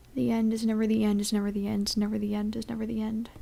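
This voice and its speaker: A woman with a fairly high pitch and a dark, mellow tone speaks at a fairly quick pace, somewhat breathy, with monotone, flat intonation. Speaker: gamer playing on camera. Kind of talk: casual let's play commentary. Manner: sleepy.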